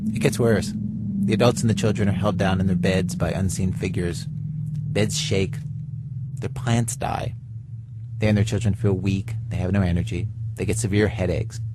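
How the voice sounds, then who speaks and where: A man's moderate pace and ordinary pitch variation come through over noticeable background noise. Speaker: radio host. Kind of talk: radio storytelling segment. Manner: casual, conversational.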